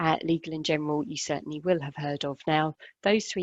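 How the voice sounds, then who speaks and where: A woman with a British accent speaks at a fairly quick pace in a very deep, low pitch. The sound is dry and close with no echo, over a quiet background. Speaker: care funding adviser. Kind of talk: webinar presentation.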